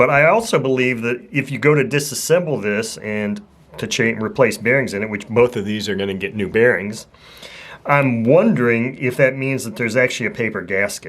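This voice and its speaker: A man speaks in a normal speaking voice at a fairly quick pace, with medium pitch and ordinary pitch variation. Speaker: RC model engine hobbyist YouTuber. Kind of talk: casual show-and-tell talk. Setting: home hobby bench.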